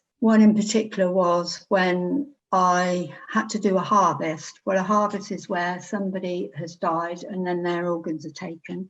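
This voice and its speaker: At a moderate pace, a woman with an English accent and medium pitch talks with fairly even intonation. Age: 70s. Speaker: retired operating theatre nurse. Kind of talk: interview testimony.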